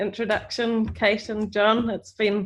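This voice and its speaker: A woman's fairly high voice in a New Zealand accent, flat and monotone in intonation. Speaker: professor. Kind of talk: lecture.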